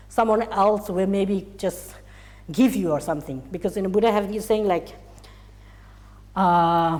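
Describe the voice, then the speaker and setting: A woman with a non-native accent, medium pitch and ordinary pitch variation, at a fairly slow pace with long, frequent pauses. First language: Tibetan. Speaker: Buddhist teacher. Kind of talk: dharma teaching. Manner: halting.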